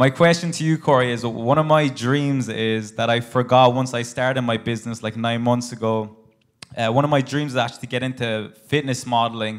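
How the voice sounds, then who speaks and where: Speaking with an Irish accent, a man uses a medium pitch and fairly even intonation. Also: fairly quick pace. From Ireland. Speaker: audience member. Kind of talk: audience question. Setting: stage with audience.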